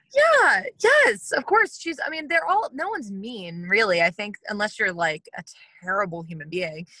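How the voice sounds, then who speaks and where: With an American accent, a woman talks at a moderate pace, her loudness swinging widely in a dry, close sound with no echo. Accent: Southern accent that comes out. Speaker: actress and former pageant winner. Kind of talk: casual interview. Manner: energetic.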